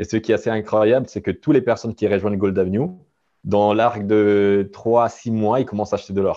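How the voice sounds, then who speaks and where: A man's dark, mellow tone carries his fairly quick speech. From Italian-speaking Switzerland. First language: Italian (speaking French). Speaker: gold company executive. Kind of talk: interview. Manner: halting.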